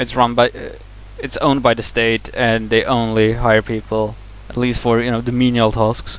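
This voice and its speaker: This man speaks with a Swedish accent. His pace is moderate. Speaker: vlogger. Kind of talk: casual vlog monologue. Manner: halting, many fillers and restarts.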